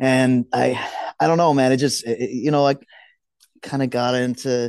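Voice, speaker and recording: An unremarkable speaking voice of a man at medium pitch, fairly quick in pace, dry and close with no echo, over a quiet background. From Houston, Texas (South Park), Mexican-American family. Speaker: soccer supporter group leader. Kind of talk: casual podcast interview.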